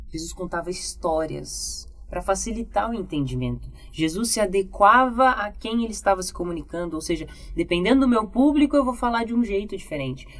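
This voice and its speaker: The speaker talks at a fairly quick pace with lively intonation and a calm tone, in a Brazilian accent. Noticeable background noise can be heard. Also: woman. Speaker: communication and public speaking teacher. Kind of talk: podcast interview. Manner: calm, controlled pace.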